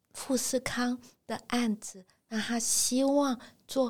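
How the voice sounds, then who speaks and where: Here a woman speaks in a dark, mellow tone. Her voice is somewhat breathy. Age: 60s. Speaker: retired professor and career counselor. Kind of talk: interview. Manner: hearty laughter.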